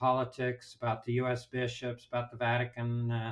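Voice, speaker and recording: A man with an American accent, medium in pitch, at a fairly slow pace. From Southern California. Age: 70s. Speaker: priest and journalist. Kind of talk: interview.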